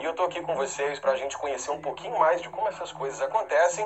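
A man speaks over noticeable background noise. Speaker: TV network announcer. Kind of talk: promo presentation. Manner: upbeat.

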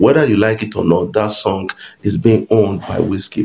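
A man's fairly low pitch with fairly even intonation. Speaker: entertainment news YouTuber. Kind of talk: casual vlog commentary. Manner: hesitant, many fillers. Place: home room.

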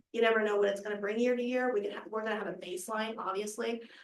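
A woman's medium-pitched voice in a monotone, flat intonation, with audible room echo. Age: 20s. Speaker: chamber of commerce director. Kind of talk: presentation to county board. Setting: public meeting, Zoom. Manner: fast.

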